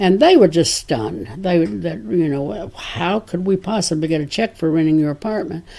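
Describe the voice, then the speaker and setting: With a dark, mellow tone and vocal fry, a woman speaks in lively intonation with hardly any pauses on a very clean recording with a silent background. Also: fairly low pitch for a woman, moderate pace. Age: 80s+. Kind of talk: interview answer.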